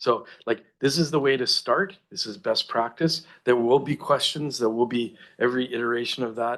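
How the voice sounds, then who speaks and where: With a Canadian accent, a man talks at a medium pitch with ordinary pitch variation. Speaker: city planning staff member. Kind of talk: council meeting briefing. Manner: halting, many restarts.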